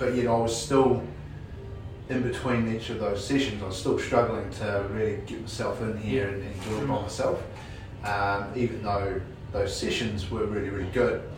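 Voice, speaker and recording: A man with a New Zealand accent and fairly low pitch, fairly even intonation and a moderate pace, with audible room echo and music in the background. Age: 30s. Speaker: police detective, contest winner. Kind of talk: interview. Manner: halting, many fillers.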